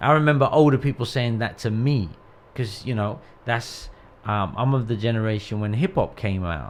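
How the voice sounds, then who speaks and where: In a plain, everyday voice, a man speaks at a medium pitch and a moderate pace with lively intonation. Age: 40s. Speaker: pastor. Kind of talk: casual chat.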